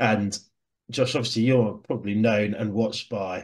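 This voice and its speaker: Speaking at a moderate pace, a man talks with a Southern English accent. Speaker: rugby podcast host. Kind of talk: casual chat.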